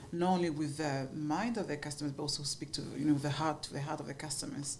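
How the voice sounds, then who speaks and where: A woman speaks with a French accent and very deep, low pitch. Audible room echo surrounds her voice. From France, Paris. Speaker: marketing agency founder. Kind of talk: podcast interview.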